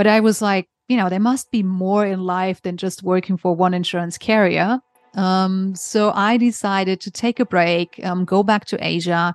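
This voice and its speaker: In a dry, close sound with no echo, a woman speaks with a German accent and fairly even intonation. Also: medium pitch for a woman, moderate pace. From Germany. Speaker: insurance author and consultant. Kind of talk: podcast interview.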